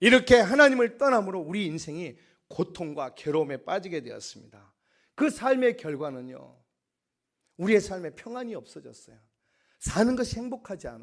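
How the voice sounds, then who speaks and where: Here a man with a high pitch talks at a moderate pace, with very wide pitch swings and big swings in loudness. The recording is very clean, with a silent background. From Korea, Gyeongsang province. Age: 50s. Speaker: pastor. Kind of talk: sermon.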